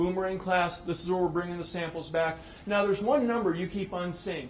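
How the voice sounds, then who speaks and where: Against noticeable background noise and audible room echo, a man with a high pitch speaks at a fairly quick pace with fairly even intonation. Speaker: conference speaker, space project manager. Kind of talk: conference presentation. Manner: fast.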